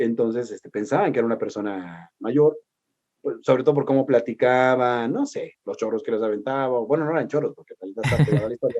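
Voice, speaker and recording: A man talks at a very fast pace with a Mexico City accent, a medium pitch and ordinary pitch variation. The sound is dry and close, with no echo. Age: 40s. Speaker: historian and radio host. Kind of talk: casual interview chat. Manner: animated.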